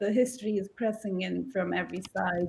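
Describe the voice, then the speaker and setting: A woman's dark, mellow voice, somewhat breathy, with fairly even intonation at a moderate pace. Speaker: exhibition curator. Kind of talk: panel presentation.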